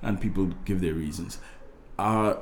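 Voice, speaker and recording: A man with a Trinidadian accent, a dark, mellow tone and a moderate pace, in audible room echo. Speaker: guest's father. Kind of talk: casual interview chat.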